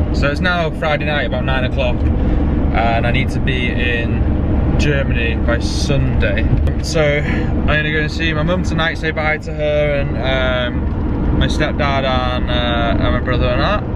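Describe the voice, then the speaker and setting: Loud background noise surrounds this man's voice. The sound is dry, with no echo. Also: fairly slow pace. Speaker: van life vlogger. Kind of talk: casual vlog chat. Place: car.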